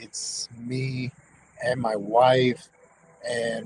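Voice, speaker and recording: A man with an American accent, medium pitch, over noticeable background noise. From US South, Tampa, Florida. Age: 50s. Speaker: tattoo shop owner and convention organizer. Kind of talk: casual livestream chat. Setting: live stream from his tattoo shop. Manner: halting, repetitive.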